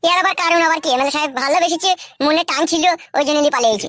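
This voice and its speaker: A squeaky, cartoonish character voice races along at a very fast pace and a high pitch. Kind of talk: rustic comic cartoon dialogue. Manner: defiant, grumbling.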